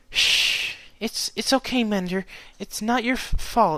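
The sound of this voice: Putting on a character voice, a man speaks slowly in a high, shaky, bright and sharp tone with ordinary pitch variation.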